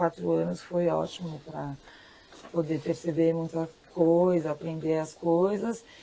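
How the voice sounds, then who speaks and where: Over noticeable background noise, a woman with a Brazilian accent speaks at a fairly slow pace. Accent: urban Brazilian. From São Paulo, Brazil. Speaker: farmer. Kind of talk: interview answer.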